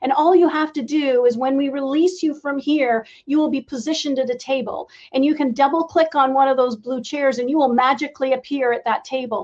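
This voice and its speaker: A woman speaks at a fairly quick pace. Her pitch is high. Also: fairly even intonation. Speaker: event host for a women's tech network. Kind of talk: closing remarks at a virtual conference. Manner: fast.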